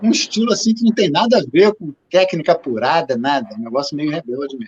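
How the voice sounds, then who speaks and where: A man's voice, moving at a moderate pace, rises and falls in very wide pitch swings. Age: 70s. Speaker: musician. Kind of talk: casual interview.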